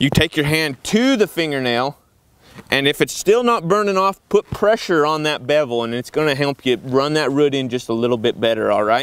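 The sound is dry, with no echo. A man speaks at a fairly quick pace with ordinary pitch variation. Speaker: welding instructor. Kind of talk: tutorial. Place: open country.

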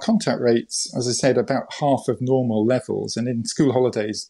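Speaking at a moderate pace, a man is heard over a quiet background. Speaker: interview guest. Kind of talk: interview answer.

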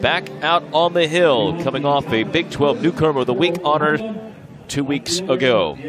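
A man at a fairly slow pace, with noticeable background noise and a dry sound with no echo. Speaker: play-by-play announcer. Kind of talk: sports commentary. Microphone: headset.

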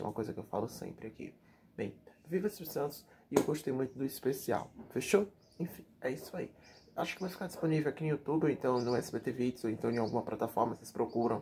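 Over light background noise, a man with a dark, mellow tone speaks at a very fast pace, somewhat breathy, with lively intonation. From Brazil. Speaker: YouTube TV news commentator; TV gossip commentator. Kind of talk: casual vlog commentary; casual vlog chat. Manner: chatty, filler-heavy. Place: home room. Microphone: webcam.

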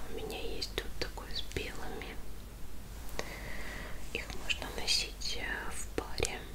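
A woman speaks at a very slow pace. Loud background noise fills the clip. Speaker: ASMR content creator. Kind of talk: ASMR show-and-tell of purchases, whispered.

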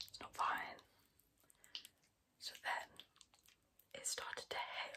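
A woman is whispering. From England. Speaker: ASMR creator. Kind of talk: ASMR whisper ramble. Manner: whispered, soft-spoken. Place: home room. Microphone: phone near.

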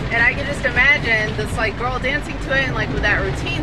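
Over loud background noise, a woman speaks at a fairly quick pace. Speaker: vlogger. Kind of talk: casual vlog chat. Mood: upbeat, animated. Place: car. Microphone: phone near.

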